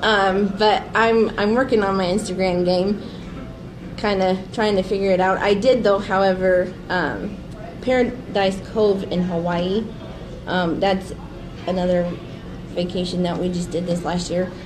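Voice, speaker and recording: A woman with an American accent and medium pitch talks at a fairly slow pace with long, frequent pauses, against noticeable background noise and audible room echo. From Nebraska, Grand Island. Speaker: photographer, small business owner. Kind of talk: casual interview. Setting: live stream.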